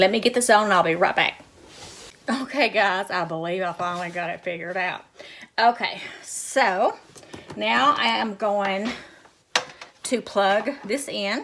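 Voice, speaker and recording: Speaking with a Southern US accent at a fairly slow pace, a woman at medium pitch uses ordinary pitch variation and takes long, frequent pauses over noticeable background noise. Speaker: cooking vlogger. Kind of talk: cooking tutorial. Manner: casual, chatty.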